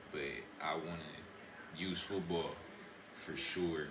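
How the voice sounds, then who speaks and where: A man with an American accent at a fairly slow pace, with audible room echo and noticeable background noise. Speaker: college football player. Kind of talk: interview. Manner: laid back.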